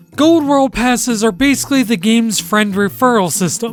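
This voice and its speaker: Someone speaks at a moderate pace with music in the background. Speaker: video game commentator. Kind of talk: video essay narration.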